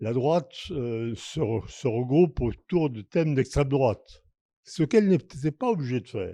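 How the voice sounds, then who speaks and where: In a very clean recording with a silent background, a man with a fairly high pitch and a dark, mellow tone speaks at a very slow pace, his pitch swinging very widely. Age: 80s+. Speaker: audience member. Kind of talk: audience question. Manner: halting, repeats words.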